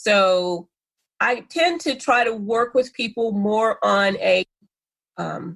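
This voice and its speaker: A woman with a fairly high pitch talks at a very slow pace, leaving long, frequent pauses. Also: lively intonation. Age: 60s. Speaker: spiritual minister and life coach. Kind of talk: interview conversation.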